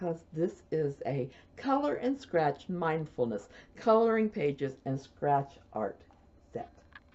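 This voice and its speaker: A woman talks at a very slow pace in a Midwestern US accent. Her very deep, low pitch swings very widely. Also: long, frequent pauses. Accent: US Midwest. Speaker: knitting podcaster. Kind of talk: casual video podcast chat. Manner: soft-spoken.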